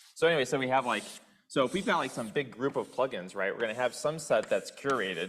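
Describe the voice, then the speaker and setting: This man talks at a very fast pace in an animated tone. His intonation is lively. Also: medium pitch for a man. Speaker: software developer. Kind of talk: group discussion. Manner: loud.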